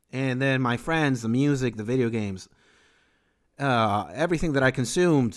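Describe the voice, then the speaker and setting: An animated man at medium pitch with a Spanish accent, moderate pace, and a very clean recording with a silent background. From Venezuela. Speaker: streamer and beat maker. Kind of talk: live stream chat.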